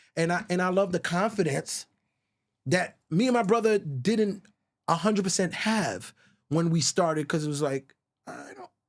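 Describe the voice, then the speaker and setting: In a Virgin Islands accent, a man with a high pitch speaks at a moderate pace with ordinary pitch variation, big swings in loudness and long, frequent pauses. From US Virgin Islands. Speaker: songwriter. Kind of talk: podcast interview. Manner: animated.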